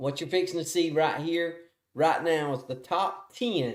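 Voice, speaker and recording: A man with a strong Southern US accent, animated in tone. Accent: thick Southern US. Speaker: awards show host. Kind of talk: live awards announcement. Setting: live stream. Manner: casual, animated.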